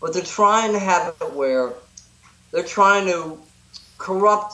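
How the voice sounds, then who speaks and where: A man's raised, projected voice, high in pitch with ordinary variation, at a very slow pace over noticeable background noise. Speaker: activist and protest reporter. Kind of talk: casual chat. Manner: animated.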